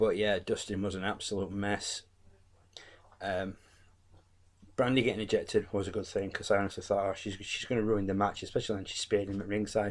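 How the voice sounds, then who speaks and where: A man talks very fast yet leaves long, frequent pauses. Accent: English. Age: 40s. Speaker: wrestling YouTuber. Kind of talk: casual review monologue. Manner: animated; halting.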